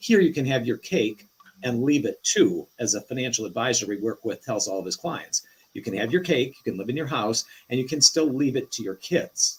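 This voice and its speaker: The voice is somewhat breathy, with lively intonation and a fairly quick pace. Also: man, medium pitch for a man. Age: 60s. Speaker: reverse mortgage lender. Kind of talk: live show interview. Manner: explanatory.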